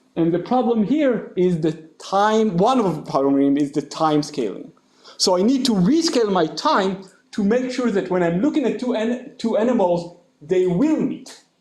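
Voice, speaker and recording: A loud man with a high voice speaks at a moderate pace, his pitch swinging very widely amid audible room echo. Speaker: mathematician. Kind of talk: lecture. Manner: animated.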